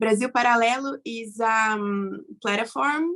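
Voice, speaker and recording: Very slowly and at a fairly high pitch, a woman speaks in a Brazilian Portuguese accent with ordinary pitch variation. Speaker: webinar panelist. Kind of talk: panel discussion. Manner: halting.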